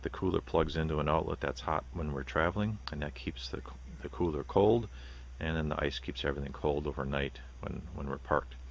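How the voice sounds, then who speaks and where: A man talks at a fairly quick pace in a very deep, low voice with vocal fry and ordinary pitch variation. The sound is dry with no echo, with light background noise. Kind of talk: product tour narration. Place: open country. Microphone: phone near.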